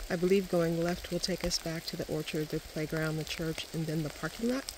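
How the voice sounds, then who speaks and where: A woman's voice with ordinary pitch variation, a dry sound with no echo, and noticeable background noise. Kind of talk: casual vlog narration. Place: forest. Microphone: phone near.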